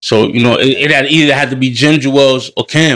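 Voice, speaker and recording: A man with an American accent, monotone and flat in intonation, at a very fast pace. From New York City and New Jersey. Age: 30s. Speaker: hip hop artist. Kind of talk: casual chat.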